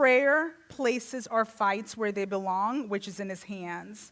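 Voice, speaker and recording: A woman speaks at a medium pitch in a Jamaican accent. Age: 40s. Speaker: guest speaker. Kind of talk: sermon.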